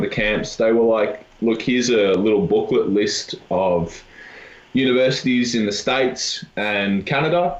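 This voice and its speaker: A man with an Australian accent speaks at a moderate pace and a fairly low pitch, with ordinary pitch variation. Room echo is audible. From Australia, Melbourne. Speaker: university volleyball player. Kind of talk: casual chat.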